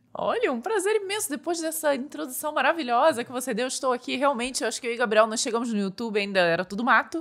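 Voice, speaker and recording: A woman with a Rio de Janeiro accent speaks very fast at a high pitch, with hardly any pauses. Her pitch swings very widely. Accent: Petrópolis (carioca-like) Portuguese. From Brazil, Petrópolis (Rio de Janeiro state). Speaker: tech YouTuber and entrepreneur. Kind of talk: casual podcast interview.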